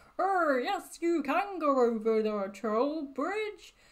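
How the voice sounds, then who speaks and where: In a put-on character voice, a woman speaks very slowly at a high pitch. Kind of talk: playful.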